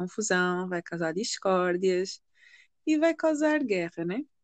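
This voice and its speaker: Speaking at a fairly slow pace with a slight African accent, a woman at medium pitch comes through with a dry, close sound, no echo, and a quiet background. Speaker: podcast co-host. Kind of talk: casual chat. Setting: remote recording.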